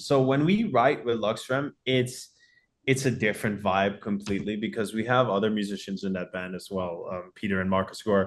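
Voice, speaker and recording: Against a quiet background, a man with a Dutch accent speaks at a moderate pace, his medium pitch showing ordinary variation. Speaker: rock band vocalist. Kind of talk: interview. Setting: video call.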